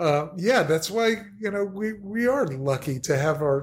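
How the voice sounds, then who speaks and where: A man's somewhat breathy voice with an American accent, at a moderate pace. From New Jersey. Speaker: podcast guest. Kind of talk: casual chat.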